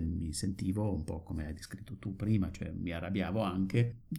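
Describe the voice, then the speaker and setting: A man with a German accent talks over noticeable background noise. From Germany, Dortmund area. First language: German (speaking Italian). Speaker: retired psychiatrist. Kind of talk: casual chat.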